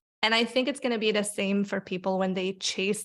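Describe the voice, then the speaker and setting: The recording is very clean, and nothing can be heard behind her. This woman talks neither fast nor slow. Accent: non-native. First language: not English. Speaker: career coach and author. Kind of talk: podcast interview. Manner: animated.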